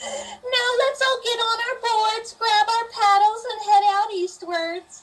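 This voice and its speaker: In a put-on character voice, a woman sounds squeaky at an extremely high pitch. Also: fairly slow pace. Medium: stage play. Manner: prim, formal.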